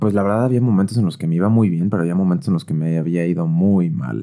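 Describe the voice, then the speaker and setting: Talking at a fairly quick pace, a man uses a very deep, low pitch. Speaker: podcast host. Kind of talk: personal monologue. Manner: casual.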